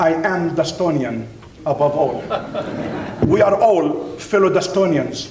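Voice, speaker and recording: High-pitched man with ordinary pitch variation, amid noticeable background noise and audible room echo. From Middle East (Palestinian Jordanian). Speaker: university professor and speaker. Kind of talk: keynote speech. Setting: dinner event with audience. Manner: emphatic, repetitive.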